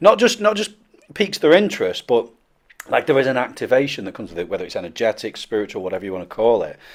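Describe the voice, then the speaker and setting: A man talks at a very fast pace, with big swings in loudness. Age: 40s. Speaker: podcast host. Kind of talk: podcast interview.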